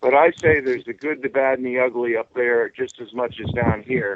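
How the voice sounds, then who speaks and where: A man with a normal speaking voice talks at a fairly quick pace. His pitch varies in an ordinary way. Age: 60s. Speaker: UFO contactee. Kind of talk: casual chat.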